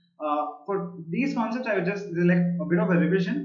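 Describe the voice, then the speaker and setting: A man at a high pitch, with lively intonation and a fairly quick pace, amid noticeable background noise and audible room echo. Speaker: programming teacher. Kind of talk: online live class. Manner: fast; hesitant, many fillers.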